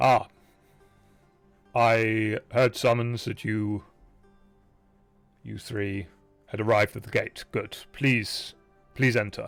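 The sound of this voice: Faint music plays in the background as a man does a raspy, put-on character voice at a medium pitch. He talks at a very slow pace with long, frequent pauses and monotone, flat intonation.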